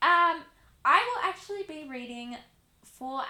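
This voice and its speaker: A woman uses a raised, projected voice with a bubbly tone. She goes at a fairly slow pace, and the room echo is audible. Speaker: channel host reading poetry. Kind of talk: casual vlog intro. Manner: loud. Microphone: mic a little far away.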